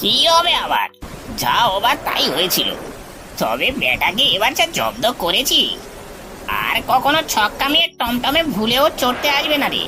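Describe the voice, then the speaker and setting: A cartoonish character voice speaks at a fairly slow pace over clear background noise. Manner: grumbling, blustering.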